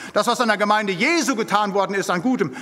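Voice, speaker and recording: A man's high-pitched voice at a very fast pace, with ordinary pitch variation, against noticeable background noise. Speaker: preacher. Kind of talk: sermon. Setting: church. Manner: emphatic.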